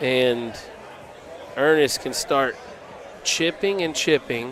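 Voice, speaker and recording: A man with a Texan accent, very slow pace and lively intonation, over noticeable background noise. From Texas (Vernon, on the Red River). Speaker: cornhole commentator. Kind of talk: live commentary. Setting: livestreamed tournament.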